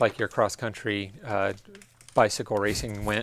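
A man speaks in an unremarkable speaking voice at a fairly low pitch. His pace is moderate. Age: 50s. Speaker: podcast co-host, race team manager. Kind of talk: casual chat. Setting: bike shop.

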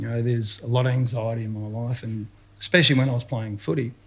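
A somewhat breathy man with an Australian accent. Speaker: retired footballer. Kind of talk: casual interview.

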